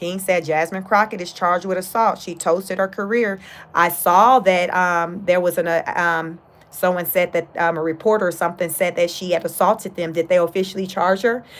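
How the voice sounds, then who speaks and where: A woman with a fairly low pitch at a fairly quick pace, in a very clean recording with a silent background. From US West Coast, San Francisco Bay Area. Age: 40s. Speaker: political commentary livestreamer. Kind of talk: casual livestream commentary reading chat. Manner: animated.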